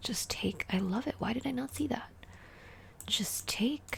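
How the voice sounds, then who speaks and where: A soft-spoken woman talks at a fairly slow pace. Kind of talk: ASMR chess puzzle commentary. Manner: soft-spoken, relaxing.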